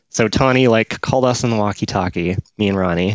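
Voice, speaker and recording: A man with a plain, everyday voice speaks at a moderate pace, his fairly low pitch carried by lively intonation. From Victoria, British Columbia, Canada. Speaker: comedian. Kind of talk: casual chat.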